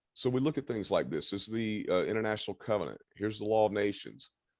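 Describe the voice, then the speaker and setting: Background sounds are quiet. A man speaks at a very fast pace. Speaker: self-styled head of a micronation, speaker on international law. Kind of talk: casual video interview with screen share.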